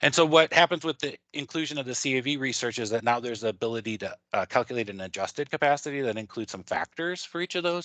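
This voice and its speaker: Delivered at a very fast pace, the voice has a bright, sharp tone and ordinary pitch variation, with a dry, close sound with no echo and a quiet background. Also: man. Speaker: traffic engineer presenter. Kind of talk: technical webinar presentation.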